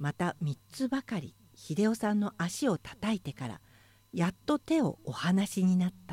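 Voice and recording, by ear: A natural voice reading aloud, intonation lively and varied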